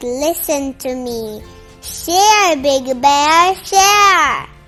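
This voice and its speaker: A put-on character voice, squeaky and very slow. Faint music plays in the background. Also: woman, high pitch for a woman. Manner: firm, instructive.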